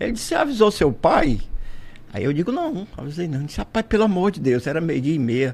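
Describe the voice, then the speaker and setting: His pitch high and swinging very widely, a man speaks in an animated tone. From Brazil, Fortaleza, Ceará. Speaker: entrepreneur and inventor. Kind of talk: radio interview, storytelling. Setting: radio studio.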